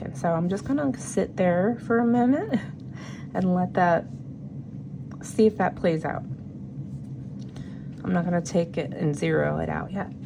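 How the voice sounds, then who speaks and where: At a fairly slow pace, a woman talks against noticeable background noise. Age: 40s. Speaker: budgeting YouTuber, single mother. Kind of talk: casual talk to camera, budget planning. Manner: casual, chatty.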